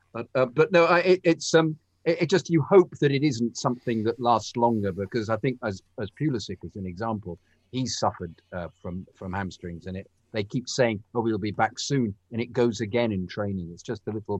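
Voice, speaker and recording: A man with a British accent speaks at a medium pitch and moderate pace, with lively intonation and big swings in loudness. The sound is dry and close with no echo, over a quiet background. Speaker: football podcast co-host. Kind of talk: casual chat.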